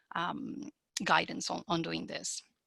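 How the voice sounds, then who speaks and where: With vocal fry and a bright, sharp tone, a woman speaks at a fairly low pitch in a dry, close sound with no echo. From Argentina. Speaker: wetland treatment expert, webinar speaker. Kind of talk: webinar talk and Q&A. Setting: online webinar. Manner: fast; halting, many fillers.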